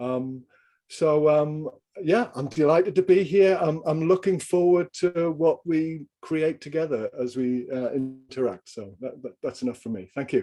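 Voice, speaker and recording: Speaking with a slight Geordie accent, a man has a fairly high-pitched voice and a dark, mellow tone. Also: ordinary pitch variation, big swings in loudness. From northern England, Newcastle upon Tyne. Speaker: executive coach and leadership trainer. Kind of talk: video call group introduction. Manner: halting.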